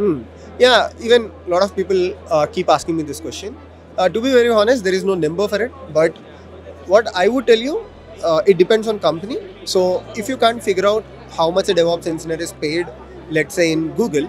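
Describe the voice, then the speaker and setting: Over faint music in the background, a man talks at a fairly quick pace and high pitch with ordinary pitch variation, the sound dry with no echo. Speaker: interviewee, educator. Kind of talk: interview answer. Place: hall. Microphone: handheld.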